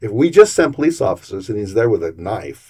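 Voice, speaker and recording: In a very clean recording with a silent background, a man's somewhat breathy voice has a dark, mellow tone, fairly low pitch and very wide pitch swings. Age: 60s. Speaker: city council candidate. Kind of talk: interview.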